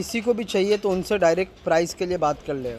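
At a fast pace, a man speaks in a high pitch with a slightly mellow tone and ordinary pitch variation.

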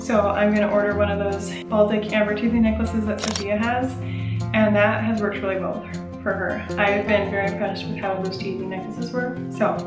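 A woman speaks at a fairly quick pace. Clear music sits in the background. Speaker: parent vlogger. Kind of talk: casual vlog chat. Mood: cheerful, laughing often. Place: home room. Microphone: phone near.

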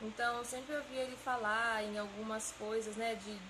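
A Brazilian accent at a moderate pace over noticeable background noise. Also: woman. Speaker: engineering student. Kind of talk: testimony. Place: empty room.

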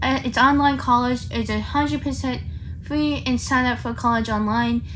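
Light background noise sits behind the recording. A woman talks at a moderate pace. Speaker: vlogger. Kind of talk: casual vlog chat. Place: home room. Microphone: phone near.

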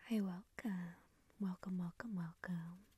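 Whispering and soft-spoken, a woman talks at a very slow pace, somewhat breathy, in a dry sound with no echo. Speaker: ASMR creator. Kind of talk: soft-spoken ASMR talk. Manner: soft whispered welcome.

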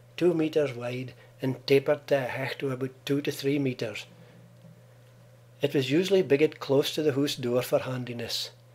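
A man with an Aberdeenshire accent speaks at a moderate pace. His pitch is fairly high and his intonation fairly even. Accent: Doric Scots, Aberdeenshire. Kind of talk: documentary trailer narration.

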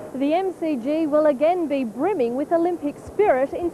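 In an Australian accent, a woman with a high voice talks at a moderate pace against noticeable background noise. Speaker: TV news reporter. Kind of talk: packaged news report narration. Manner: polished, evocative voiceover with ceremonial tone.

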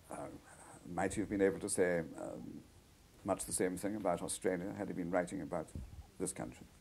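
Speaking at a fairly quick pace with long, frequent pauses, a man has a very deep, low pitch and vocal fry. His intonation is fairly even. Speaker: radio interviewer. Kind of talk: radio interview. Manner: halting. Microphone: old recording.

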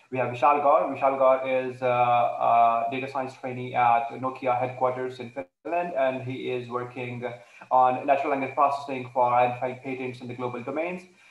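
Flat and monotone, a man speaks at a fairly quick pace with audible room echo. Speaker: online course lecturer. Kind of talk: lecture introduction. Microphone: video call.

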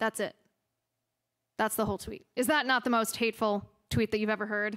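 Against a quiet background, a woman talks at a fairly quick pace in a bright, sharp tone. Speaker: conservative political commentator and podcast host. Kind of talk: public lecture followed by audience Q&A. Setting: stage with audience at a university. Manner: impassioned, rhetorical. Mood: ironic, pointed. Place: hall. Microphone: podium.

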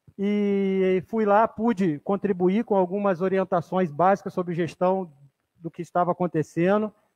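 A man speaks fairly slowly at a high pitch against a quiet background. His intonation stays fairly even. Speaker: city councilman. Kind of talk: legislative session speech. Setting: council chamber. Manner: halting, repeats words. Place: hall. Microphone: podium.

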